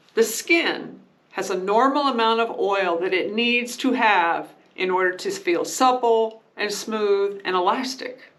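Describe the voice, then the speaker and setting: A woman speaks at a fairly high pitch. Room echo is audible. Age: 60s. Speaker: beauty and skincare vlogger. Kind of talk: casual tutorial talk to camera.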